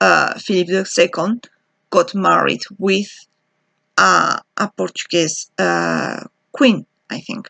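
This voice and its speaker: A woman's very slow speech with a non-native accent, dry and close with no echo, over a quiet background. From Spain, Basque Country. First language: Spanish or Basque. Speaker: PhD student researcher. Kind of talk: video self-introduction monologue. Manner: halting with fillers.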